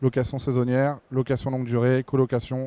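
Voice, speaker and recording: Dry and close with no echo, a man's dark, mellow, medium-pitched voice moves at a fairly quick pace in a monotone, flat delivery. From Brittany, France. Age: 30s. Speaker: real estate investor, panel moderator. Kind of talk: panel discussion. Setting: stage with audience at trade show. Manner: hesitant, many fillers.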